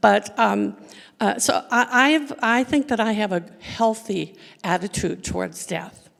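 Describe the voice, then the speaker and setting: A woman with vocal fry talks fairly slowly at a fairly high pitch, with ordinary pitch variation. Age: 70s. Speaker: audience member, retired photojournalist. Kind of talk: audience question. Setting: church hall with live audience.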